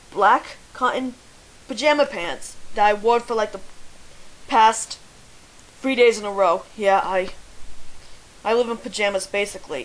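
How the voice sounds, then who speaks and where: Over noticeable background noise, a woman speaks at a fairly slow pace and fairly high pitch, with ordinary pitch variation and long, frequent pauses. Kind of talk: casual voice meme answers. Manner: hesitant, stalling.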